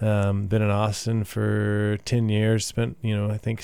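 A man with a Texan accent speaks at a fairly low pitch in a dark, mellow tone. The recording is very clean, with a silent background. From Texas, Midland and Katy. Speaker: singer-songwriter. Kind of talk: casual interview. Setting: radio studio.

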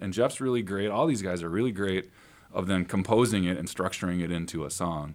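With an American accent, a man with an unremarkable speaking voice and a fairly low pitch talks at a fairly quick pace in a very clean recording with a silent background. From Northern Illinois (Sandwich). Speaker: singer-songwriter, band leader. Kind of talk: radio interview. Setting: radio studio.

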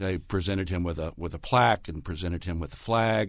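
Against a quiet background, a man with a fairly low pitch uses a normal speaking voice. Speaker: journalist and documentary producer. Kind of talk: interview. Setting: studio.

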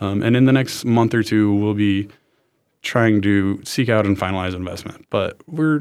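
A man speaks in a plain, everyday voice at a fairly low pitch. It is a very clean recording with a silent background. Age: 20s. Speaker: MBA student and medical entrepreneur with cancer. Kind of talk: interview. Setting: studio.

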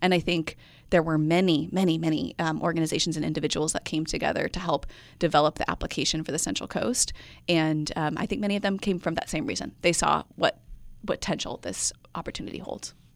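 In a very clean recording with a silent background, a woman with fairly low pitch, ordinary pitch variation and vocal fry talks at a very fast pace. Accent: American. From US Midwest. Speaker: nonprofit project director. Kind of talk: radio interview.

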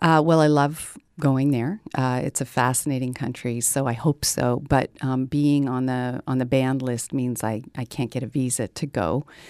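A woman's very deep, low voice at a moderate pace with hardly any pauses, dry and close with no echo, on a very clean recording with a silent background. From Canada. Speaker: political science professor. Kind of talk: interview. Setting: studio. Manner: hesitant, many fillers.

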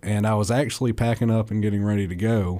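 A man with an American accent speaks at a moderate pace, his pitch fairly low. His tone is dark and mellow, and his intonation stays fairly even. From northern Alabama (Limestone County). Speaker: stand-up comedian. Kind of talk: interview.

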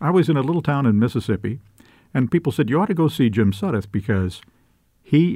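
A man's normal speaking voice, lively in intonation and fairly quick in pace, on a very clean recording with a silent background. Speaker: professor and former TV news reporter. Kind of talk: casual interview chat.

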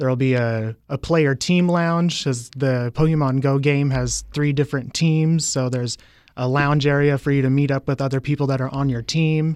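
A man with a fairly high voice speaks at a moderate pace in an ordinary speaking voice, with fairly even intonation, very even loudness and hardly any pauses. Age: 30s. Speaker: game enthusiast. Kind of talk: radio interview.

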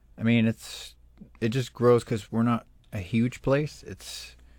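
A man with an American accent at a medium pitch, fairly slow, with monotone, flat intonation. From Florida Everglades, Miccosukee Reservation. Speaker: filmmaker. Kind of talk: interview. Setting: remote studio.

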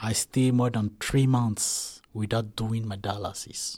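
At a fairly slow pace, a man speaks in a monotone, flat intonation on a very clean recording with a silent background. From Ivory Coast. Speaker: artist and refugee. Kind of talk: interview testimony.

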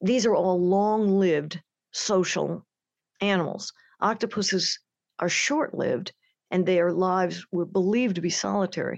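An unremarkable speaking voice from a woman of medium pitch, at a moderate pace and very even loudness, dry and close with no echo over a quiet background. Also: ordinary pitch variation. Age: 60s. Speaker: nature writer. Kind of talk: interview. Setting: remote from home.

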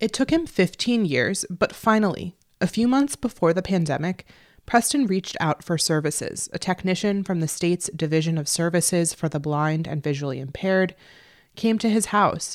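A woman with an unremarkable speaking voice and an American accent talks at a moderate pace, with a fairly low pitch and lively intonation. The recording is very clean with a silent background, giving a dry, close sound with no echo. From New Jersey. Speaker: radio journalist. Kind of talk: scripted narration.

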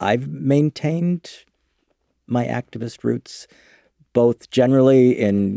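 With an American accent, a man speaks slowly-ish at a medium pitch, his dark, mellow tone swinging very widely in pitch. The recording is very clean and silent in the background, with a dry, close sound and no echo. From US Midwest, Chicago. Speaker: author, sex educator and activist. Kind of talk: interview.

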